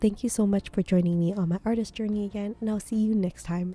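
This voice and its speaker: Somewhat breathy, this woman's voice has a dark, mellow tone. It sits at a medium pitch. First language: not English. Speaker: artist. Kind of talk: art video voiceover. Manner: hesitant, with fillers.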